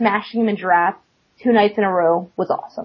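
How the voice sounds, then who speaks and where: A woman talks in a somewhat breathy voice with an American accent. Her pitch variation is ordinary. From Florida. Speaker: competitive card game player. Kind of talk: interview. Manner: hesitant with fillers.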